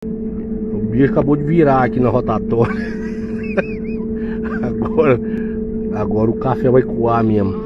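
A man's voice, dry with no echo, with long, frequent pauses against loud background noise. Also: fairly slow pace. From Minas Gerais, Brazil. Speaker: airline passenger. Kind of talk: casual narration of a plane takeoff. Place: plane. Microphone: phone near.

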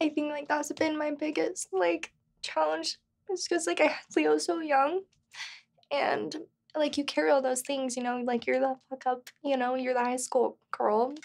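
With very wide pitch swings, a woman speaks in a high voice. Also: moderate pace. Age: 20s. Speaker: real estate agent and single mother; interviewee. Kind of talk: interview. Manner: casual, filler-heavy. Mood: open, personal, reflective. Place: studio.

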